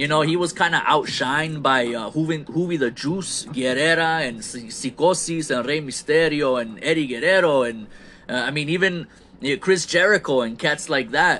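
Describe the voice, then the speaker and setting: A man with a fairly high pitch speaks at a moderate pace against noticeable background noise. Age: 30s. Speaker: wrestling podcast host. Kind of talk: solo podcast monologue reviewing wrestling shows. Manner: casual, self-described halting conversational skills.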